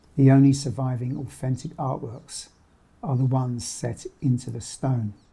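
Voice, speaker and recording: In a dark, mellow tone, a man speaks at a moderate pace, his medium-pitched voice somewhat breathy and his intonation fairly even. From London, Somers Town. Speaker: documentary narrator. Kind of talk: scripted narration.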